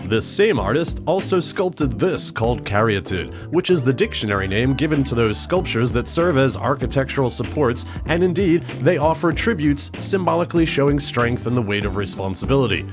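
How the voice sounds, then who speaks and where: Over music in the background, a man talks in a medium-pitched voice with very wide pitch swings and hardly any pauses. His loudness stays very even. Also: fairly quick pace. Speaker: geocaching video creator. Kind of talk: comedic voice-over narration. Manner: wry, joking.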